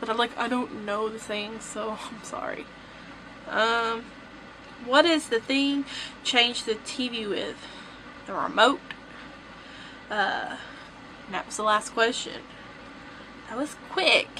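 Over light background noise, a woman with a Southern US accent speaks very slowly at a fairly high pitch in a bright, sharp tone, with ordinary pitch variation, big swings in loudness and long, frequent pauses. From Southern US (Tennessee, Georgia). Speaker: vlogger. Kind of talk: casual talk to camera. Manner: chatty, upbeat. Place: home room. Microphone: camera far.

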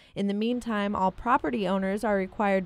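A woman with an American accent has an unremarkable speaking voice at medium pitch with ordinary pitch variation. She talks at a fairly quick pace on a very clean recording with a silent background. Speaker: student journalist / TV news reporter. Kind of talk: TV news report.

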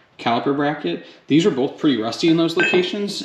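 Behind the speech there is noticeable background noise. The voice is a man's. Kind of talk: tutorial. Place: garage. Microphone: phone near.

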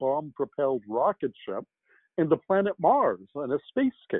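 A man with an ordinary speaking voice and fairly high pitch, at a moderate pace, dry sound with no echo, quiet background. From Canada. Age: 60s. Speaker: science fiction novelist; guest. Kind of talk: interview. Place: home room.

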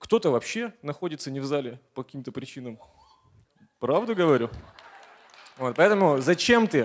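A man speaks at a moderate pace. He leaves long, frequent pauses, and his loudness swings a lot. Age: 30s. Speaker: motivational speaker, network marketing partner; motivational speaker. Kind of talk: motivational speech. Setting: stage with audience. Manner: energetic. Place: hall. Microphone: handheld.

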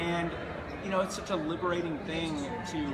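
An American accent over loud background noise. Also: man. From Texas. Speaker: environmental filmmaker. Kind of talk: casual interview. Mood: earnest, persuasive. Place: hall. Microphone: phone near.

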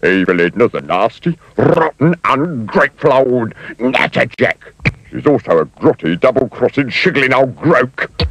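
A man uses a put-on character voice at a medium pitch. He goes at a moderate pace.

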